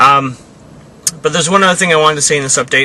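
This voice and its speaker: Against noticeable background noise, a man speaks very fast with lively intonation. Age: 30s. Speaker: vlogger documenting his adult braces. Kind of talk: casual video diary. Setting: in a car. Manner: halting, many fillers.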